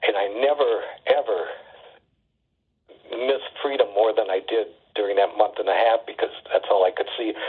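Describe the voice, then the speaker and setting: A man with an Upper Midwest accent, at a moderate pace, with long, frequent pauses. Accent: Upper Midwest American. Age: 70s. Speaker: poet. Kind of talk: interview.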